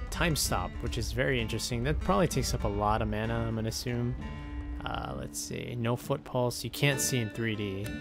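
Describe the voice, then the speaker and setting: With clear music in the background, a man with a very deep, low pitch speaks at a fairly quick pace, his pitch swinging very widely. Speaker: gaming YouTuber. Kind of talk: video game commentary. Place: home room.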